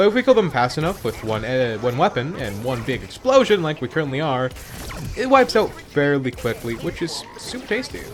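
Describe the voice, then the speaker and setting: A man speaks at a fairly quick pace, his pitch fairly high and his intonation lively. Noticeable background noise runs behind him. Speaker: gaming youtuber. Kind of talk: gameplay commentary. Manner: casual, hesitant with fillers.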